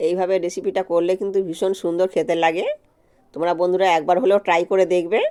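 Speaking at a medium pitch with a dark, mellow tone, a woman keeps her loudness very even and her intonation flat and monotone. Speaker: cooking vlogger. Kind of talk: cooking tutorial.

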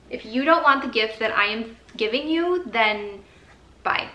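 With lively intonation, a woman speaks in an American accent, her voice carrying audible room echo. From Michigan. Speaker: vlogger. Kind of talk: casual vlog chat. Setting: on location, out shopping. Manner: animated. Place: home room. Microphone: phone near.

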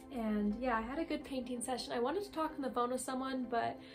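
Over clear music in the background, a woman talks at a high pitch with fairly even intonation. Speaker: artist vlogger. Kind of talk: casual vlog chat. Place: home room. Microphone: phone near.

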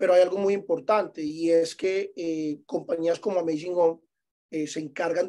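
Against a quiet background, a high-pitched man with a dark, mellow tone talks at a moderate pace. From Medellín, Colombia. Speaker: vacation rental property manager; guest. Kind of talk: webinar presentation. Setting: Zoom webinar. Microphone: video call.

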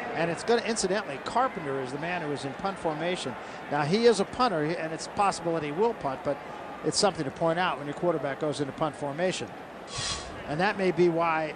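Noticeable background noise surrounds a man with a fairly high pitch. He talks at a very fast pace with ordinary pitch variation. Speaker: play-by-play announcer. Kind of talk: live commentary.

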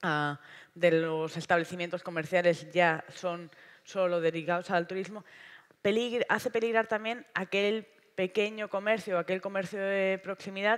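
A woman talks fairly slowly, her intonation fairly even, with quiet in the background. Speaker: panelist. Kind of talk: panel talk. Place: stage. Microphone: headset.

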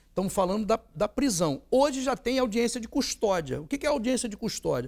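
Against a quiet background, a man with an extremely high-pitched voice speaks with lively intonation. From Nova Friburgo, Rio de Janeiro state, Brazil; Rio de Janeiro state, Brazil. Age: 60s. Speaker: politician and lawyer; politician, lawyer. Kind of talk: interview. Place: studio. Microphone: lapel.

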